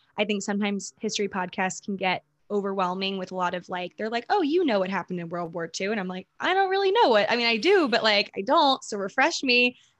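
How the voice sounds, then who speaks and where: A woman's medium-pitched voice in a Mid-Atlantic accent at a very fast pace, with ordinary pitch variation and a dry, close sound with no echo. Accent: American, Mid-Atlantic. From US, Maryland. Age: 20s. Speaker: social media creator and podcaster. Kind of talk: casual interview chat.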